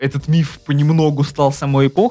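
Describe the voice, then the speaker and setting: At a moderate pace, a man with an ordinary speaking voice talks at a fairly high pitch. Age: 20s. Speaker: film critic podcast co-host. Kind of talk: casual chat.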